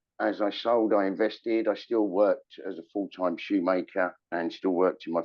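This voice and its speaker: A man with a London accent speaks at a fairly slow pace. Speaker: shoemaker and shoe retailer. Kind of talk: interview storytelling. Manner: hesitant with fillers.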